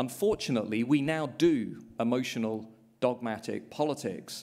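The speaker has a British accent and talks at a moderate pace. The background is quiet. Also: man. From England. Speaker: politics professor. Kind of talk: panel discussion. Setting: stage with live audience. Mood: measured, somewhat pessimistic. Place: hall.

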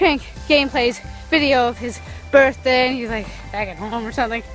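A woman speaks at a moderate pace over faint background music, with a dry sound and no echo. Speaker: small vlogger. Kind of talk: casual vlog chat. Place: street. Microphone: phone near.

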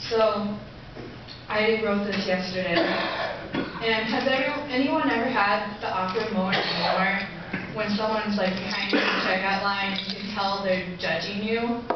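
Against loud background noise, a woman's voice comes through with audible room echo. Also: moderate pace. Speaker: spoken word poet. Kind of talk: casual introduction to a live audience. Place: stage. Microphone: camera far.

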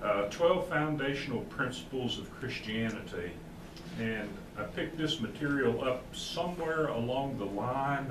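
Noticeable background noise sits behind a man who speaks at a fairly slow pace with ordinary pitch variation. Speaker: Bible class teacher. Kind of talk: lecture. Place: church. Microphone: camera far.

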